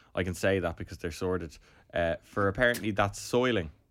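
The speaker talks at a fairly quick pace in an Irish accent. Pitch variation is ordinary. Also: man. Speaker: part-time barber. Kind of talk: casual chat.

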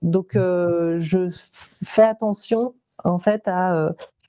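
A woman speaks at a medium pitch with a dark, mellow tone and fairly even intonation, her voice sounding dry and close with no echo. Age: 40s. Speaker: visual artist and entrepreneur. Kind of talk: testimony.

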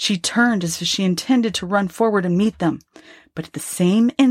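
The voice reads in an unforced way. Its pitch variation is ordinary.

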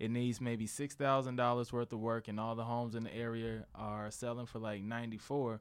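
Here a man with an American accent talks at a fairly quick pace. He has a medium pitch and an unremarkable speaking voice. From St. Louis, US Midwest. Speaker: comedian and co-host. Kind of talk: casual chat.

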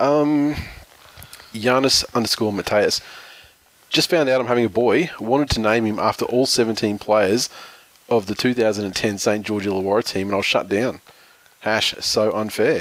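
Over noticeable background noise, a man with an Australian accent talks at a fairly slow pace and medium pitch, with ordinary pitch variation and long, frequent pauses. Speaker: podcast host, rugby league. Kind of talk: casual chat. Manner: jokey, talkative.

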